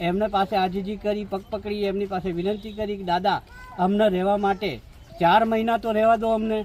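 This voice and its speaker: A man's high-pitched voice in a flat monotone. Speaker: displaced local resident. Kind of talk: news interview testimony.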